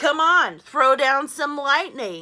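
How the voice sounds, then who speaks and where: A woman's put-on character voice, pitched high. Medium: read story.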